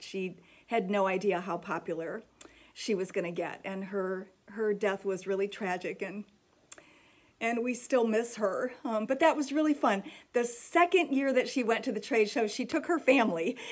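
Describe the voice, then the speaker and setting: Lively intonation marks this woman's ordinary speaking voice, fairly high in pitch and at a moderate pace. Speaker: needlework shop owner and vlogger. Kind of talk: casual vlog monologue.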